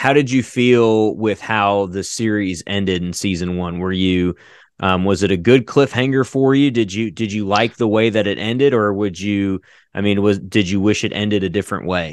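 A man with an ordinary speaking voice talks at a moderate pace, his fairly low pitch showing ordinary pitch variation. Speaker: podcast creator and voice actor. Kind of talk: casual interview. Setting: video call.

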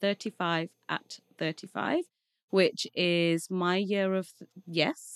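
A woman with an English Midlands accent speaks at a medium pitch and a fairly slow pace. The sound is dry and close with no echo. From Leicester, England. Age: 30s. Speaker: marketing executive. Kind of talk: casual interview. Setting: studio.

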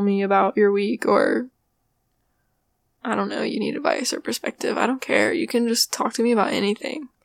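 A woman speaks quietly at a moderate pace, her pitch fairly high with ordinary variation. The sound is dry and close, with no echo. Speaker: podcast host. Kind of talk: casual monologue. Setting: home, roommate nearby. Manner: quiet, subdued; low energy.

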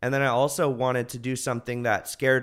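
A man with an American accent speaks at a moderate pace in a very clean recording with a silent background. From Northern California, US. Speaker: comedian. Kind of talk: casual chat.

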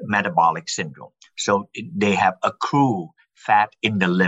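A man with a normal speaking voice, lively intonation, and a moderate pace. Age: 60s. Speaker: scientist. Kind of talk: interview. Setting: remote call.

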